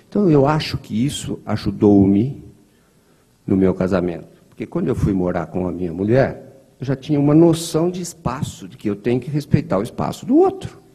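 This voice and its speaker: The voice carries a rural Brazilian accent and a dark, mellow, somewhat breathy tone. Pitch swings very widely and loudness shifts a lot at a moderate pace. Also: man, medium pitch for a man. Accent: Brazilian countryside (interior). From interior of São Paulo state, Brazil. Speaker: spiritist lecturer. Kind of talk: lecture. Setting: spiritist center hall, streamed online. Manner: conversational.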